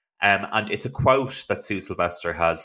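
A man with an Irish accent speaks at a moderate pace in a bright, sharp tone with ordinary pitch variation, recorded very cleanly against a silent background. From Ireland. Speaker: actor and playwright, podcast host. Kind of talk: casual chat.

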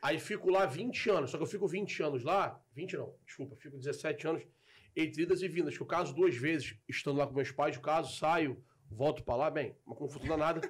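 Heard on a very clean recording with a silent background, a man with a Carioca accent talks at a moderate pace in a fairly high pitch with ordinary pitch variation. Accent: carioca Brazilian Portuguese. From Rio de Janeiro, Brazil. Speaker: football content creator. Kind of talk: casual chat.

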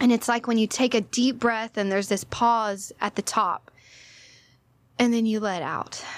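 Recorded very cleanly against a silent background, a woman with an American accent speaks in a plain, everyday voice at a fairly high pitch. Her intonation is fairly even, her pace moderate, and the sound dry and close with no echo. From Texas, Orange (southeast Texas). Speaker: yoga instructor. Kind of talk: casual chat.

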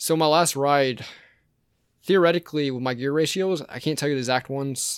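A man's fairly high voice with an American accent, a plain, everyday voice, at a fairly quick pace on a very clean recording with a silent background. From US South, Georgia (Savannah area). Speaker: former paramedic, mountain biker. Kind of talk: casual chat.

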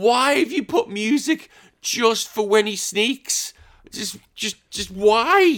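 An extremely high-pitched man at a very slow pace, with lively intonation. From England. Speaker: retro gaming podcaster. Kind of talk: casual chat. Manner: animated.

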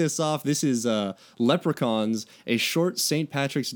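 A passage is read out. The delivery is a natural reading voice.

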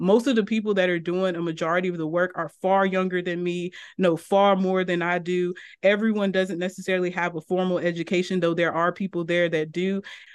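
Against a quiet background, a woman with an American accent talks fairly quickly at medium pitch in a flat monotone. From Eastern North Carolina. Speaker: criminology professor. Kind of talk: podcast interview.

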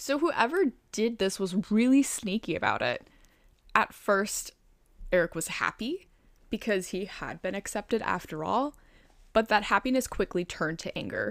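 With an American accent, a woman speaks at a fairly high pitch and a moderate pace, her intonation lively. The recording is very clean, with a silent background. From Chicago, US. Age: 20s. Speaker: true crime podcast co-host. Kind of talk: casual storytelling of a crime case.

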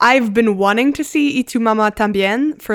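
A woman talks at a fairly quick pace in a normal speaking voice. The pitch variation is ordinary, and the recording is very clean with a silent background. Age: 20s. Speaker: podcast host. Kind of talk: casual chat.

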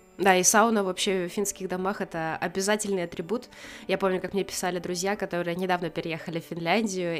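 Fairly even intonation marks this woman's very fast speech. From Karelia, Russia. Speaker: podcast co-host. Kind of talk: casual chat.

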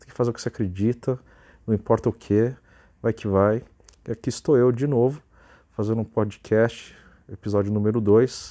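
The recording is very clean, with a silent background, as a man of medium pitch and dark, mellow tone speaks at a moderate pace. His intonation is fairly even, broken by long, frequent pauses. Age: 20s. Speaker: podcaster and YouTuber. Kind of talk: solo motivational monologue.

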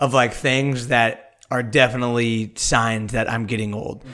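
Someone with an American accent talks at a moderate pace in an unremarkable speaking voice. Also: man. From US Midwest, Kansas City. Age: 30s. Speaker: podcast co-host. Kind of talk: casual chat. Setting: video call.

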